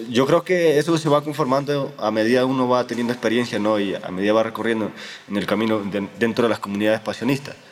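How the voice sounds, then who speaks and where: Against noticeable background noise, someone talks at a very fast pace with ordinary pitch variation. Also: man, medium pitch for a man. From Honduras. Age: 20s. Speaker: theology student in a religious order. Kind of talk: interview. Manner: halting, with frequent repetitions.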